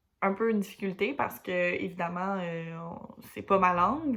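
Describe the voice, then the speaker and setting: A woman speaks at a moderate pace in a medium-pitched voice. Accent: Quebec. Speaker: student teacher. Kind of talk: class presentation. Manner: hesitant, many fillers.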